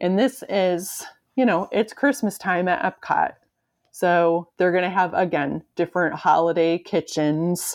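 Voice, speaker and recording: In a plain, everyday voice with an American accent, the speaker goes at a fairly slow pace with ordinary pitch variation. The recording is very clean with a silent background, and the loudness stays very even. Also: woman, fairly low pitch for a woman. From Michigan. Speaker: podcast host. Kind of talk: casual chat.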